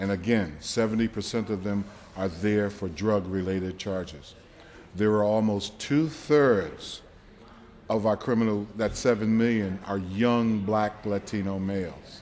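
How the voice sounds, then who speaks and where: This man has a plain, everyday voice with a fairly low pitch and an American accent. He talks at a fairly slow pace with ordinary pitch variation. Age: 60s. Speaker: drug policy activist. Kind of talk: speech at a rally.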